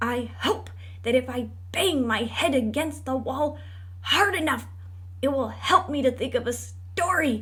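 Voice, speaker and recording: A fairly high-pitched put-on character voice speaks at a moderate pace. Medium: read story.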